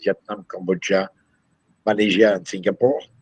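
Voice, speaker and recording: This man talks with a French accent. His voice is pitched fairly low. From France. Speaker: company CEO. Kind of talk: interview. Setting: video call. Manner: halting.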